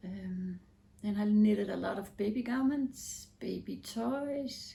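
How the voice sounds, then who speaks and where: At a very slow pace, a woman with a Danish accent speaks in a somewhat breathy, fairly high voice with a dark, mellow tone. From Denmark. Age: 40s. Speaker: knitting podcaster. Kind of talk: casual vlog talk. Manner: hesitant, with fillers.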